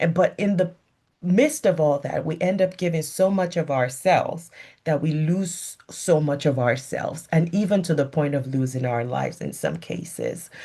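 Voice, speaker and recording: A moderate pace in a West African accent, on a very clean recording with a silent background. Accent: West African accent, audible. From Nigeria (Lagos). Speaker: physician. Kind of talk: motivational talk.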